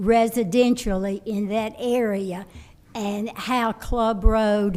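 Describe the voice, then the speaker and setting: Very slowly, a woman speaks in monotone, flat intonation. Her fairly high voice has a dark, mellow tone. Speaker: local resident. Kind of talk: public comment at city meeting. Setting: city planning commission meeting. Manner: loud.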